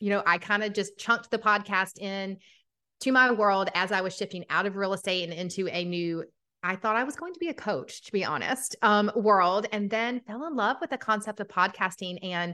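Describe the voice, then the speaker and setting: Fairly quick speech in a Southern US accent, bright and sharp in tone, with ordinary pitch variation over a quiet background. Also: woman. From Atlanta, Georgia. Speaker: podcaster and business coach. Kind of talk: casual interview chat.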